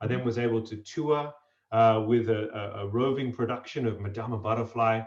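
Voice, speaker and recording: Speaking with an Australian accent, a man keeps a medium pitch and fairly even intonation at a fairly quick pace. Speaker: opera singer and voice coach. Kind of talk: interview.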